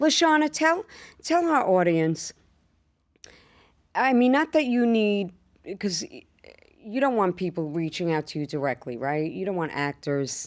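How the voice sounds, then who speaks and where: Speaking with a New York accent at a medium pitch, a woman moves at a fairly slow pace with very wide pitch swings and long, frequent pauses, on a very clean recording with a silent background. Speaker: podcast host. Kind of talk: casual chat. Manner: animated.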